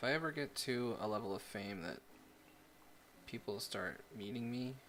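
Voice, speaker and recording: The man's voice sits at medium pitch. Its tone is bright and sharp. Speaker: miniature painting streamer. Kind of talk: casual livestream chat while painting. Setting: livestream with webcam. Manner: casual, rambling.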